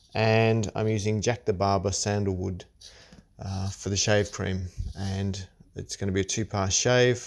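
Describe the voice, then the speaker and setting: In an Australian accent, a man speaks at a fairly slow pace with a fairly low pitch and fairly even intonation. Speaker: shaving hobbyist. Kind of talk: tutorial. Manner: halting.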